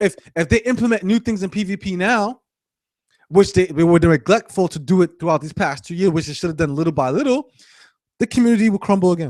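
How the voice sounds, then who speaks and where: A man shouting at a high pitch and very fast pace, with lively intonation and a dry, close sound with no echo. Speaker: gaming live streamer. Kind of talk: angry live stream rant. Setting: live stream. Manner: yelling; repetitive, stammering.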